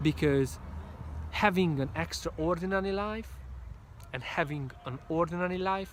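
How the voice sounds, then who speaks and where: Someone with a Hungarian accent talks at a fairly slow pace. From Hungary. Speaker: motivational speaker. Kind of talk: motivational talk. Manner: animated; halting.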